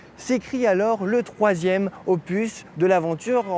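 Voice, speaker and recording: A man's high voice at a very slow pace, with ordinary pitch variation and noticeable background noise. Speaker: TV presenter. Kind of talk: TV segment narration.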